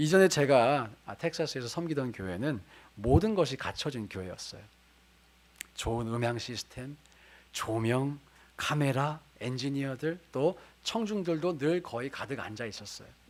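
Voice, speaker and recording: A man with a fairly high pitch and an ordinary speaking voice talks at a fairly slow pace with lively intonation. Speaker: pastor. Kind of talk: sermon.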